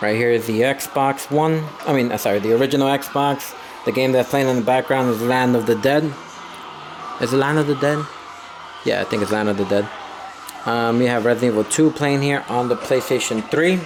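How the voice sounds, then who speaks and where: With music in the background, a man talks at a fairly quick pace but leaves long, frequent pauses. His intonation is fairly even and his loudness very even. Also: medium pitch for a man. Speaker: YouTuber. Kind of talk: casual tour vlog. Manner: fast; hesitant fillers.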